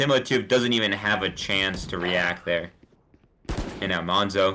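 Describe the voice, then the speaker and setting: A man speaks in an animated tone. His pace is moderate. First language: not English. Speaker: esports caster. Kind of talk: live commentary. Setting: live stream.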